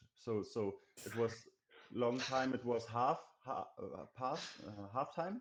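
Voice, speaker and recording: Speaking at a very slow pace with a German accent, a man keeps a medium pitch and ordinary pitch variation. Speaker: indie game developer. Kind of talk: interview. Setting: live stream. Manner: halting.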